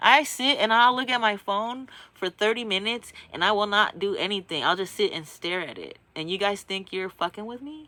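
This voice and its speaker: Her bright, sharp, animated voice sits at medium pitch for a woman, moving at a moderate pace with hardly any pauses, big swings in loudness and ordinary pitch variation. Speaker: vlogger. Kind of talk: casual monologue.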